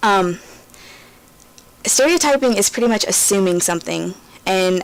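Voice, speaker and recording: Medium pitch from a woman at a moderate pace, over noticeable background noise. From rural US. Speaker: gaming YouTuber. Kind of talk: commentary over gameplay. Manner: hesitant, many fillers.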